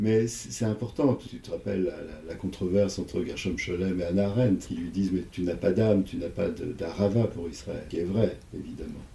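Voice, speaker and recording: A man speaks at a fairly low pitch with ordinary pitch variation. His pace is moderate, with hardly any pauses. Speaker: psychoanalyst. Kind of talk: interview. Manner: halting.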